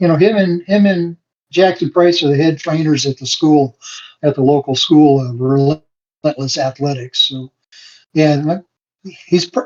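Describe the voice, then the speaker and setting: With an American accent, a man speaks at a moderate pace, his pitch fairly high and its variation ordinary. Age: 60s. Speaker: wrestling referee. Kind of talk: podcast interview. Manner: halting, many fillers.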